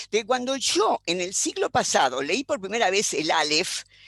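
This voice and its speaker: A woman with a Rioplatense accent speaks at a moderate pace, in a dry, close sound with no echo. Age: 80s+. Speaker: philosopher. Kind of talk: panel discussion. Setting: video call.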